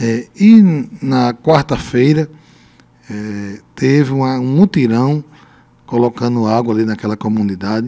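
Dark and mellow, a man's voice moves at a fairly slow pace with ordinary pitch variation. Long, frequent pauses break up his speech. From Brazil, Rio Grande do Norte interior (Lajes Pintadas); Rio Grande do Norte, Brazil. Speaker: mayor; interviewee. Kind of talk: radio interview. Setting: radio studio. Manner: halting. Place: studio. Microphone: handheld.

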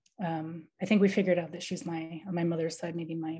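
A woman speaks with an American accent. Her voice is somewhat breathy. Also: quiet background. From US Midwest, Iowa. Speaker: artist. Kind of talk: artist talk. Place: home room. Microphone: video call.

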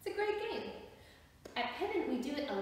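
A woman's voice in strong room echo. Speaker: drama or movement instructor. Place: empty room. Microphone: camera far.

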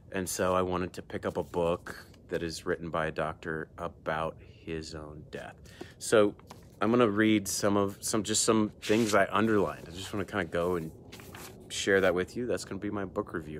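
Over light background noise, a man talks in a very deep, low voice with fairly even intonation. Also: moderate pace. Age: 40s. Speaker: emergency room doctor and video host. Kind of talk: solo book review monologue. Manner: casual, hesitant with frequent fillers. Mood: thoughtful, calm. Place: garden. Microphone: earbuds.

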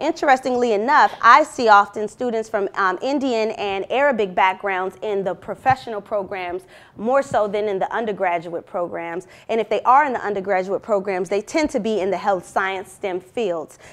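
A woman talks at a moderate pace with ordinary pitch variation and hardly any pauses. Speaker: university lecturer. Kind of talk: academic presentation. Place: classroom.

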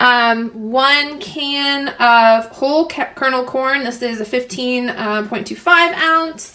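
A woman speaks at a very slow pace in a raised, projected voice. Her pitch varies in an ordinary way. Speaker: home cook vlogger. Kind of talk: tutorial. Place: kitchen. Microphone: phone near.

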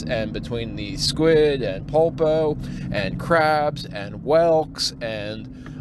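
There is noticeable background noise as a man with an American accent talks with ordinary pitch variation. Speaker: fishing boat captain, former merchant mariner. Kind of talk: casual storytelling to camera.

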